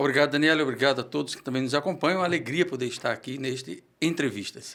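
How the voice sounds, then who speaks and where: Very fast speech with ordinary pitch variation. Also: man, fairly high pitch for a man. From Brazil, Pernambuco. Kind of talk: interview.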